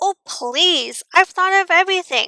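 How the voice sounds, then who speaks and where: An extremely high put-on character voice from a woman, at a moderate pace. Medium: read story. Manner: theatrical, fabulous.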